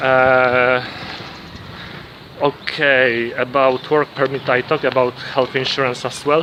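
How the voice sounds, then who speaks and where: Over noticeable background noise, a man with a Polish accent and a medium pitch speaks at a very slow pace, with long, frequent pauses. His intonation is flat and monotone. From Poland. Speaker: vlogger. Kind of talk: casual vlog monologue. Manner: halting, many fillers and restarts.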